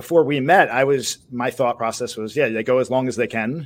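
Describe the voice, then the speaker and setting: A man speaks at a medium pitch and a fairly quick pace, with ordinary pitch variation, in a normal speaking voice. The recording is very clean, with a silent background. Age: 40s. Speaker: podcast co-host and producer. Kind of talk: casual interview.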